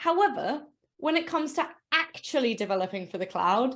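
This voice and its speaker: A woman with a high pitch speaks at a moderate pace, her pitch swinging very widely. The recording is very clean, with a silent background. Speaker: developer advocate. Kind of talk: conference talk. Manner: casual, many fillers.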